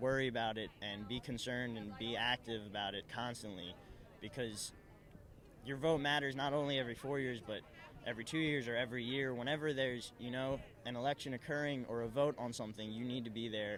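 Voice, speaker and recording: A man's normal speaking voice at a medium pitch, with a fairly quick pace. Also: fairly even intonation. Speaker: student protest organizer. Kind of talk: interview.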